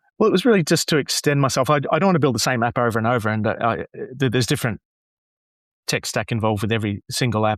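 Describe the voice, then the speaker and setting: In an Australian accent, a man is heard in a dry, close sound with no echo on a very clean recording with a silent background. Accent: Anglo-Australian. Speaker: graduation announcer and app developer. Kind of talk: casual interview chat. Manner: halting, many repeated words.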